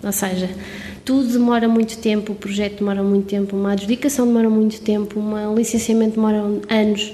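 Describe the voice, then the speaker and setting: Over noticeable background noise, a woman with a fairly high pitch speaks at a fairly quick pace in a monotone, flat intonation. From Portugal, Covilhã (Serra da Estrela). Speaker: street art curator and architect. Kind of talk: casual interview.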